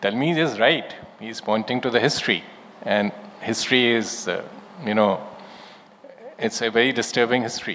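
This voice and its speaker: The man talks at a moderate pace and a medium pitch. His pitch varies in an ordinary way, and there is noticeable background noise. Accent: Indian. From India, Lucknow. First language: Urdu. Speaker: former diplomat. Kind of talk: panel discussion. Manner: measured, formal.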